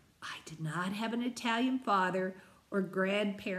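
The recording consists of plain reading aloud.

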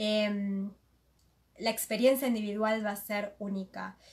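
Somewhat breathy and fairly high-pitched, a woman talks with monotone, flat intonation. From Argentina, Buenos Aires. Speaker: interpreter and moderator. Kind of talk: live consecutive interpretation. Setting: live video stream, seated beside the guest.

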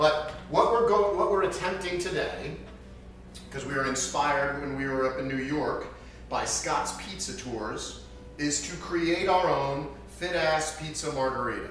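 At a fairly slow pace, a man talks with ordinary pitch variation, with audible room echo and light background noise. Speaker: home cook host. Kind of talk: tutorial. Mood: playful, lighthearted. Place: kitchen. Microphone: camera far.

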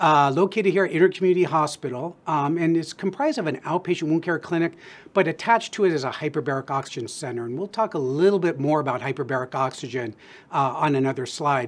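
Very fast delivery with ordinary pitch variation. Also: man. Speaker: presenter. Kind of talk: lecture. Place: studio.

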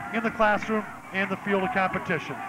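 A man speaks at a fairly quick pace in a high voice, with a dry sound and no echo. Music plays in the background. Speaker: play-by-play announcer. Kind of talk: live sports play-by-play commentary. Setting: press box at stadium.

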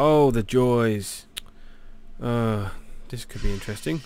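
A man talks with a British accent and ordinary pitch variation. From Britain. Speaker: gaming YouTuber. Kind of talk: let's play commentary. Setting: home recording while playing a game. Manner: halting, filler-heavy; soft-spoken.

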